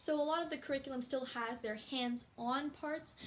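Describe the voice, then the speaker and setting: Against noticeable background noise, a woman with a high pitch speaks at a fairly quick pace. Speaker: YouTuber. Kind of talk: casual vlog talk. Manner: fast.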